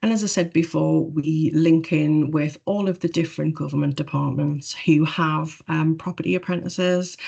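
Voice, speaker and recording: A woman with a Geordie accent talks in a very deep, low, dark and mellow voice with hardly any pauses. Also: quiet background. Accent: Geordie (Newcastle). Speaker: government property profession staff. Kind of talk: webinar presentation. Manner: fast.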